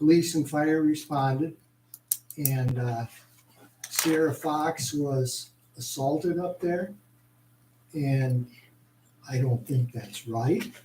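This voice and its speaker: A man with an American accent speaks at a very slow pace in a fairly high pitch, with ordinary pitch variation, long and frequent pauses, and noticeable background noise. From Postville area, US Midwest. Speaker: citizen speaker at council meeting. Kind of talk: public comment. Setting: council meeting, hall with audience.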